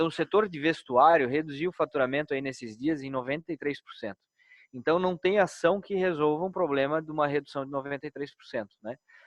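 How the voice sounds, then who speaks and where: A man with a Brazilian accent, ordinary pitch variation and big swings in loudness. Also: fairly high pitch for a man, fairly quick pace. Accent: non-Brasília regional accent, noticeable. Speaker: bank executive. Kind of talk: business webinar Q&A. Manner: hesitant, many repetitions.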